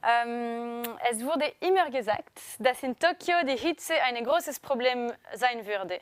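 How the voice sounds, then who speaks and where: A woman with a French accent, high in pitch, fairly slow, with ordinary pitch variation. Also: dry, close sound with no echo. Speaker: press conference moderator. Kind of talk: press conference. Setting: live-streamed press conference.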